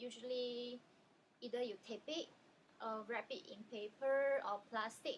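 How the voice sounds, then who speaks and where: A woman with a Chinese accent speaks at a high pitch. She keeps a fairly slow pace and fairly even intonation. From China. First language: Chinese dialect. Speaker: language video creator. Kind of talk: educational vlog. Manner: casual with frequent um fillers.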